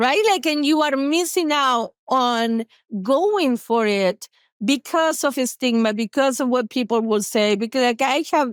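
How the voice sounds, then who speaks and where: Speaking at a fairly slow pace, a woman with an Argentine accent swings her pitch very widely, in a dry, close sound with no echo and a very clean recording with a silent background. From Argentina, Buenos Aires. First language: Spanish. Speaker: therapist. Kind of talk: podcast interview. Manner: animated; talkative.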